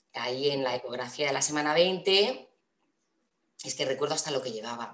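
A woman talks at a moderate pace. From Castilla-La Mancha, Spain (Toledo). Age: 30s. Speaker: mother sharing birth story. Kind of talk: personal testimony interview.

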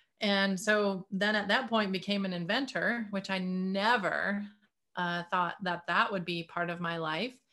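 A woman with an American accent, medium pitch, a bright, sharp tone, fairly even intonation and a fairly slow pace. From US Midwest, Detroit area. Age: 50s. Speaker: inventor and healing practitioner. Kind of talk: interview.

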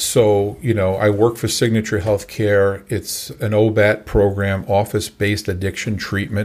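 At a moderate pace and with hardly any pauses, a man talks in a flat monotone over a silent background in a very clean recording. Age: 60s. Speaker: recovery coach. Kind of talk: interview. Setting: studio.

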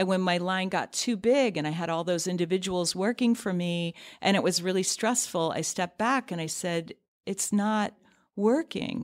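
Heard on a very clean recording with a silent background, a woman has a normal speaking voice at a medium pitch, a moderate pace and ordinary pitch variation. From US Midwest (near Cleveland, Ohio) and North Carolina. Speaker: fashion designer and business founder. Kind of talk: interview conversation. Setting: studio.

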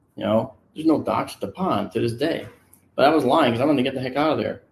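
This man has a plain, everyday voice at medium pitch, with ordinary pitch variation. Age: 60s. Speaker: photo and video analyst for a UFO research group. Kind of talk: casual chat. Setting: on location with a group.

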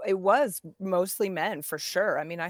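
With an unremarkable speaking voice, a woman talks at a fairly low pitch with ordinary pitch variation. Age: 40s. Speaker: professional mountain biker and camp founder. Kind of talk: casual interview chat.

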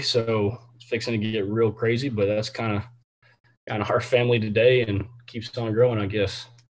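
A man with a Texan accent talks at a fairly quick pace. His medium pitch carries a monotone, flat intonation. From Central Texas, Temple area. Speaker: high school football coach. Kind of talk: interview. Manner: many filler words.

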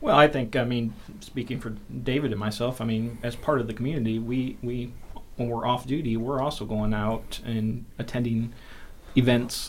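A man with an American accent speaks at a moderate pace and medium pitch. His intonation is fairly even, and audible room echo can be heard. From northern Indiana (South Bend). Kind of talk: casual interview.

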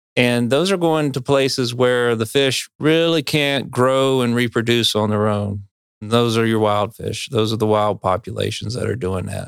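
Recorded with a dry, close sound and no echo, a man with an American accent uses a normal speaking voice at medium pitch, with ordinary pitch variation and a moderate pace. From North Carolina Piedmont. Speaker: fisheries biologist. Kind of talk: podcast interview.

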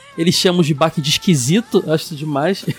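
A man at a fairly quick pace, fairly high in pitch, in a dry, close sound with no echo over noticeable background noise. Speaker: podcast host. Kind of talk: casual chat. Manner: animated.

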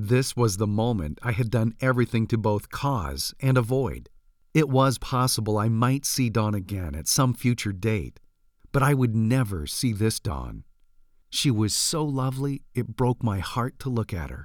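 An unremarkable speaking voice with lively intonation, on a very clean recording with a silent background. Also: man, medium pitch for a man. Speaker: audiobook narrator. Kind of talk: audiobook reading. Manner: slow, soft, emotional, hushed; sighing, tearful, intimate.

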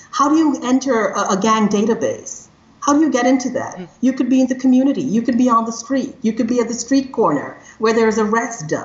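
Noticeable background noise sits under a woman's high voice. She talks fairly quickly, with ordinary pitch variation and very even loudness. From Trinidad and Tobago. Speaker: criminologist and AI ethics consultant. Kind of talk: interview conversation. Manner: energetic.

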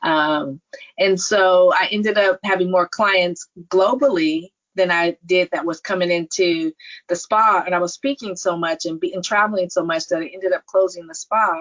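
In an American accent, a woman talks at a moderate pace with medium pitch, ordinary pitch variation and an unremarkable speaking voice. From California, Silicon Valley. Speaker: nurse practitioner and entrepreneur. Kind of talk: interview.

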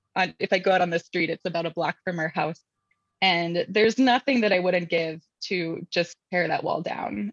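A woman with an American accent has a fairly low pitch and ordinary pitch variation. She speaks at a moderate pace in a dry, close sound with no echo. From US Midwest, Indianapolis. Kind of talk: interview.

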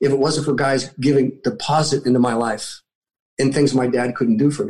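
A dark, mellow, somewhat breathy tone at a fairly quick pace. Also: man. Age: 60s. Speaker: military veteran and motivational speaker. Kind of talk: interview.

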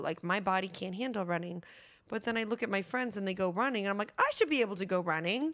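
The speech comes very fast with lively intonation on a very clean recording with a silent background. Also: woman. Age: 30s. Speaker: actress and writer. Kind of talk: casual interview.

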